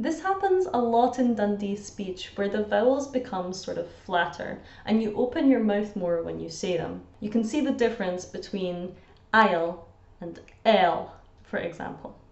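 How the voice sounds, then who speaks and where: Audible room echo surrounds a speaker with a Scottish accent. The pace is fairly slow and the pitch variation ordinary. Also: woman, fairly high pitch for a woman. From Scotland. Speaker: language teacher. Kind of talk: educational explainer to camera. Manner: upbeat, chatty. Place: home room. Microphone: phone near.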